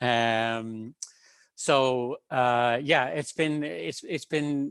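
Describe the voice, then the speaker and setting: A man's medium-pitched voice with an Irish accent, ordinary pitch variation and a very slow pace. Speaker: government researcher. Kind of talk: panel talk. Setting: video call webinar.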